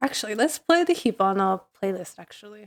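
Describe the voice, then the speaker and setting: A woman speaks at medium pitch. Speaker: streamer. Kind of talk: casual chat. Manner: chatty, many fillers.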